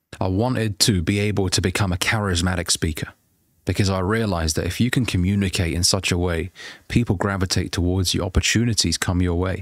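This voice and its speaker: On a very clean recording with a silent background, a man talks at a very fast pace. His pitch is very deep and low. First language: not English. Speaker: self-improvement coach and YouTuber. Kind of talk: motivational talk to camera. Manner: animated.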